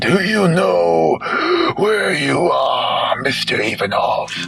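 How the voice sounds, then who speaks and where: A man's hoarse, put-on character voice at a very slow pace over clear background noise. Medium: read story.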